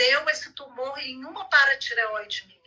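A woman projects a raised, high-pitched voice. She talks at a very slow pace with ordinary pitch variation. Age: 50s. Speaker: women's health advocate. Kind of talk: live video chat.

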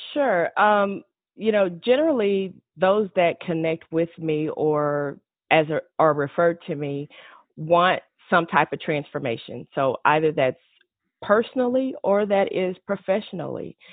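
Speaking at a fairly slow pace, a woman uses a normal speaking voice with fairly low pitch and lively intonation. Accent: American. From Texas, Fort Worth. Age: 50s. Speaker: business consultant. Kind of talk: interview conversation.

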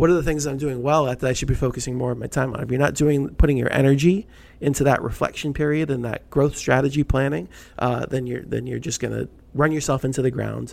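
At a very fast pace, a man speaks at medium pitch. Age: 40s. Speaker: business podcast co-host. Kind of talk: casual chat. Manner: animated.

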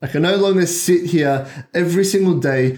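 A man talks in a plain, everyday voice at a moderate pace with ordinary pitch variation. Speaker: podcast host. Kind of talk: solo monologue, personal story. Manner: reflective, motivational.

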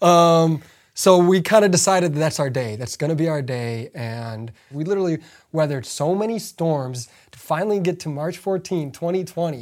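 Lively intonation and big swings in loudness at a moderate pace, in a very clean recording with a silent background. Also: man, fairly high pitch for a man. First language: not English. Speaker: podcast co-host. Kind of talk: casual chat. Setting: home basement.

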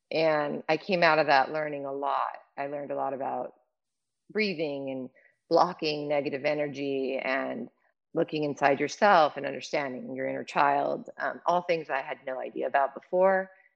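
In a Californian accent, a woman speaks at a very deep, low pitch. Her pace is moderate and her pitch variation ordinary. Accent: Californian American. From Los Angeles, US. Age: 50s. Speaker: fashion executive. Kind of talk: casual chat.

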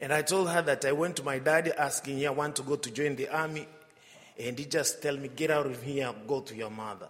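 A man with a Tanzanian accent speaks at a fairly quick pace, his warm tone pitched fairly high with ordinary variation. Noticeable background noise runs behind him. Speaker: visiting missionary priest. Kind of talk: homily with personal anecdotes. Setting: church. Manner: humorous, warm.

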